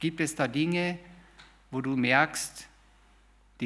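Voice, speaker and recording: Ordinary pitch variation from a man, heard with audible room echo. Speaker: lay preacher. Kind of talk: sermon. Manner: informal, halting at times.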